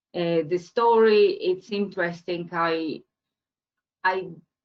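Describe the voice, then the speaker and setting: Speaking very slowly with a Spanish accent, a woman uses a fairly low pitch. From Colombia. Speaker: entrepreneur. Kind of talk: webinar talk. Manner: halting, many fillers and repeats.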